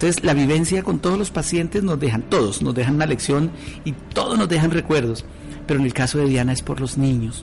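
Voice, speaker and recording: With music in the background, a man talks at a very fast pace. His voice is fairly high, with ordinary pitch variation. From Colombia, Ibagué (Tolima). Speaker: shelter caretaker and amateur radio broadcaster. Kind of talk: interview testimony.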